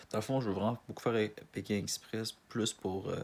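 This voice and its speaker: The speech comes in a strong Canadian French accent at a fairly quick pace. Intonation stays fairly even. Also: man. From Quebec, Montreal. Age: 20s. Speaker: casting applicant. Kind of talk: self-presentation video. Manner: halting, many restarts and fillers.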